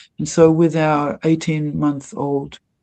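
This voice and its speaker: A woman with an Australian accent speaks at a fairly slow pace in a very deep, low pitch, her dark, mellow tone delivered in a monotone, flat intonation. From Australia, Melbourne. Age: 70s. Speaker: devotee and former actress. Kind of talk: interview testimony. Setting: livestreamed interview.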